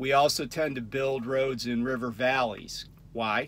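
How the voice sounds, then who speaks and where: With monotone, flat intonation, a man speaks in a dry sound with no echo. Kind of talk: casual vlog chat. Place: car. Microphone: phone near.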